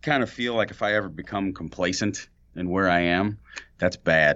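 Ordinary pitch variation in a man's very deep, low-pitched voice with an American accent. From St. Louis, Missouri. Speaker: painting contractor. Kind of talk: casual chat. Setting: borrowed podcast studio office.

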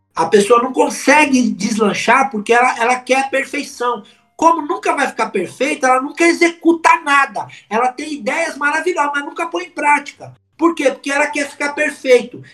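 A man speaks in a raised, projected voice at an extremely high pitch and a moderate pace. His tone is bright and sharp, with ordinary pitch variation. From São Paulo city, Brazil. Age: 50s. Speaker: public speaking coach. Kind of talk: podcast interview. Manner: animated.

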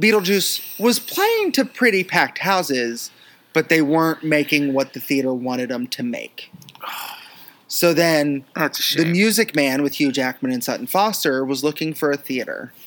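Moderate pace over noticeable background noise. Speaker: musical theatre podcast host. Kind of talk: casual chat. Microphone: laptop microphone.

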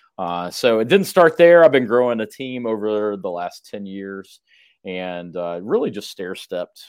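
A man with a normal speaking voice, fairly low in pitch, at a fairly slow pace with lively intonation and big swings in loudness, in a very clean recording with a silent background. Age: 40s. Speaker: real estate team leader. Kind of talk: interview.

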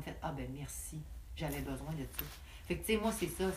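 A woman speaks at a moderate pace. Echo from the room is audible. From Quebec, Lac-Saint-Jean (Roberval). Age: 20s. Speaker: barrel racer and riding coach. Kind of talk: casual interview.

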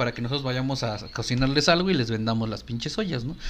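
Speaking very fast with lively intonation, a man talks in a Mexican accent. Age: young. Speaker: podcast co-host, recruiter. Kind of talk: casual chat. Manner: loud.

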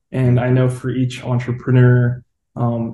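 A dark, mellow, somewhat breathy voice. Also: man. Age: 20s. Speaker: podcast host. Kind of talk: casual interview.

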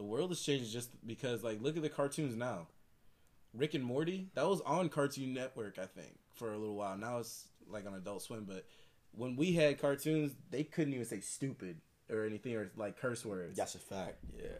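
With an American accent and a plain, everyday voice, a man talks at a moderate pace with lively intonation on a very clean recording with a silent background. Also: medium pitch for a man. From Michigan, near Detroit. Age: 20s. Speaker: podcast guest. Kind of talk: casual chat.

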